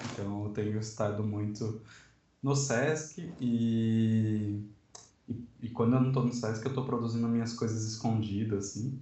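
Audible room echo surrounds a man speaking at a medium pitch and fairly slow pace with fairly even intonation. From Sorocaba, São Paulo state, Brazil. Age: 20s. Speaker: designer and book layout artist. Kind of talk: casual chat.

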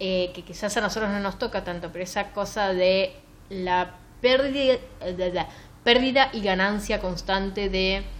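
Speaking at a fairly slow pace, a woman uses a medium pitch with ordinary pitch variation and a plain, everyday voice. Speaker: book podcast host. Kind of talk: casual chat.

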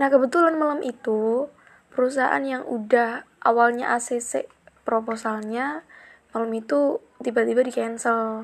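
A woman speaks at a fairly slow pace with lively intonation. Her pitch is high. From Central Java (Kebumen). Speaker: podcaster. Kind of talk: casual monologue. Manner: chatty, frequent laughs.

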